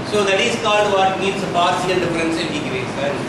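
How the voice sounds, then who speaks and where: Amid loud background noise and audible room echo, a man talks at a fairly quick pace. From India, Tamil Nadu. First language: Tamil. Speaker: guest lecturer in mathematics. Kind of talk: lecture. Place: classroom. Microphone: camera far.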